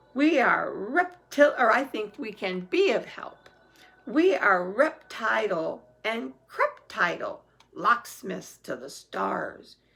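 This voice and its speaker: A put-on character voice talks very slowly at a fairly high pitch. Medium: read story. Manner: sly.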